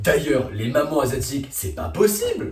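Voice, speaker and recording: The man speaks in an animated tone at a moderate pace. Music plays in the background, and room echo is audible. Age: young. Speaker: youtuber. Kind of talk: comedic monologue. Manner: loud.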